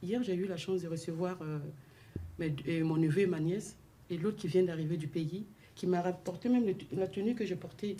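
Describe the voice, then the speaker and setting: Long, frequent pauses break up speech delivered at a moderate pace in a dark, mellow, somewhat breathy tone with ordinary pitch variation. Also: woman, fairly low pitch for a woman. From sub-Saharan Africa. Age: 40s. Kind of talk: radio discussion.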